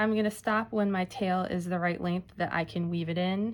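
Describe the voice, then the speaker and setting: A woman talks at a moderate pace with lively intonation. Her pitch is fairly low. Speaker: library staff craft instructor. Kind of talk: tutorial. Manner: casual.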